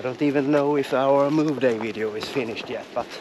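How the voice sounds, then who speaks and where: A man's fairly high pitch, dry with no echo, over noticeable background noise. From Sweden, Engelholm area; Sweden. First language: Swedish. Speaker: travel vlogger. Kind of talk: casual vlog chat. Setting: outdoors. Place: forest. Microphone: phone near.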